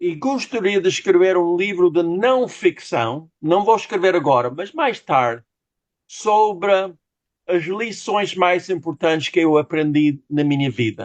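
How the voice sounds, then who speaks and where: The man's voice is high in pitch. He speaks at a fairly slow pace. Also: lively intonation. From United States. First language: English (speaking Portuguese). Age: 60s. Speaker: novelist. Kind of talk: interview. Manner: halting.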